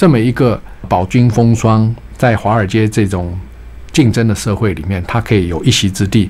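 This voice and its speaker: With a plain, everyday voice, a man talks at a moderate pace, his fairly low pitch showing ordinary pitch variation. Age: 60s. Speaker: retired bank executive, author. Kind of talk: radio interview. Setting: radio studio.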